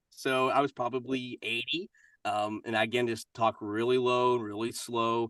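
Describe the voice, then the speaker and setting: Music plays in the background while the voice speaks at a moderate pace with a Kentucky accent. The intonation is monotone and flat, and the sound is dry and close with no echo. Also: man, medium pitch for a man. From US South, Kentucky. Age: 40s. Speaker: voice-over artist and actor. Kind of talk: interview.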